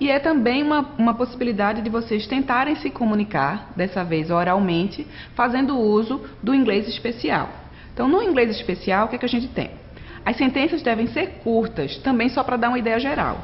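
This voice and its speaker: A woman's fairly high voice with lively intonation against noticeable background noise. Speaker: online course instructor. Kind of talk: lecture. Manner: fast.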